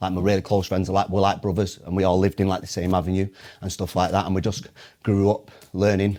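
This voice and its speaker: Very fast and passionate, a man with a Mancunian accent speaks at a very deep, low pitch in a dark, mellow tone with monotone, flat intonation. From Manchester, northern England. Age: 20s. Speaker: motivational speaker. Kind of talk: podcast interview.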